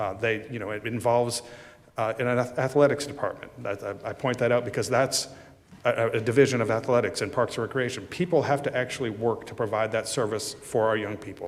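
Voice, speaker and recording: With audible room echo, a man at a medium pitch talks at a fairly quick pace. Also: fairly even intonation. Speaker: city manager presenting budget. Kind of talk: budget presentation at council meeting. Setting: city council chambers. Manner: fast.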